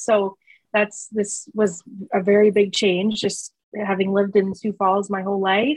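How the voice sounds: A woman speaks at a medium pitch and a fairly slow pace.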